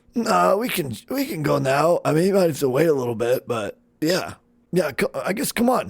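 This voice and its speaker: In a put-on character voice, a man sounds raspy. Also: fairly high pitch for a man, moderate pace. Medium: actual play. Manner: hesitant, filler-heavy, casual.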